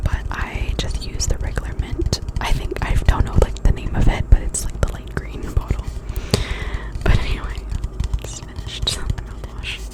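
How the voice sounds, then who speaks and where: A woman whispers at a moderate pace, her loudness swinging a lot. Noticeable background noise is present. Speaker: ASMR creator. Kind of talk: ASMR product review talk. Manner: whispered; casual, rambling.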